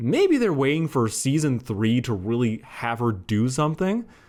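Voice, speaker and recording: Very wide pitch swings mark this fairly slow delivery on a very clean recording with a silent background. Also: man. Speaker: YouTube reviewer. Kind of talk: casual video review. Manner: mumbling; chatty.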